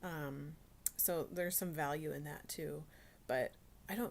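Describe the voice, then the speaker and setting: A quiet woman's voice, very deep and low, with vocal fry and fairly even intonation. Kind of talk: casual devotional talk. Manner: halting, many fillers.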